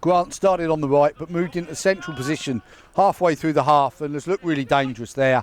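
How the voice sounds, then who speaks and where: Noticeable background noise runs under the recording. A man speaks at a fairly high pitch with ordinary pitch variation. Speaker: football commentator. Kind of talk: live commentary. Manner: loud.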